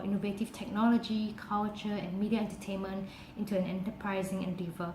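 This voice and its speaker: Amid noticeable background noise and audible room echo, a medium-pitched woman talks at a very fast pace in a monotone, flat way. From Singapore. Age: 20s. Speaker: university student. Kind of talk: application video self-presentation.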